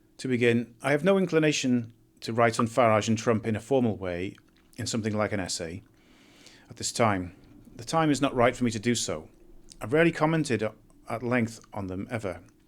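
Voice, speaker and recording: Using a British accent, a man talks at a fairly quick pace with long, frequent pauses, a medium pitch and lively intonation. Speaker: essayist reading his own writing. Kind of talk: political monologue and reading aloud of own essay. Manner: fast; hesitant, with fillers.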